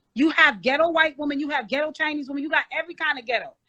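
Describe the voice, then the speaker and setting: A woman talks at a very fast pace in a raised, projected voice, her bright, sharp tone caught in a dry, close sound with no echo. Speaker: panelist in dating debate. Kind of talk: heated debate. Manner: loud.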